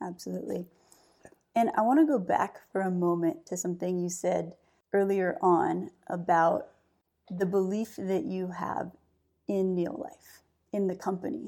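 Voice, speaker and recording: A woman talks at a fairly slow pace with long, frequent pauses. Her medium-pitched voice has a dark, mellow tone and ordinary pitch variation. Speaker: company CEO and podcast host. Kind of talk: interview-style conversation.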